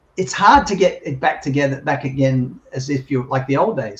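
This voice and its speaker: A man with an Australian accent and a fairly high pitch sounds somewhat breathy, speaking at a fairly quick pace with ordinary pitch variation. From Australia (Sydney). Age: 60s. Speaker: journalist and former sportscaster. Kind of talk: interview.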